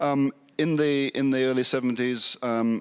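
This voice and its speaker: Over a very clean recording with a silent background, a man speaks with a British accent and fairly even intonation. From England. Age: 60s. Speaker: Anglican priest and academic. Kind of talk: panel discussion. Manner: halting, many fillers.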